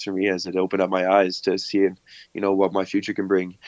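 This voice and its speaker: A man's fairly low voice at a very fast pace. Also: dry, close sound with no echo. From Canada, Camrose, Alberta. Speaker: college baseball player. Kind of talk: interview.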